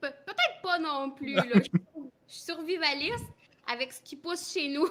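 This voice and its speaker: A woman speaks at a high pitch and a moderate pace. Her loudness swings widely. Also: ordinary pitch variation. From Quebec. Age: 20s. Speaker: dairy farmer's wife. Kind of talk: interview.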